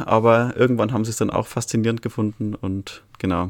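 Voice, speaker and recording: Speaking at a moderate pace, the man has a medium pitch. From Bavaria, Altötting area. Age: 20s. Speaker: birdwatcher and nature volunteer. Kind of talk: interview. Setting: video call.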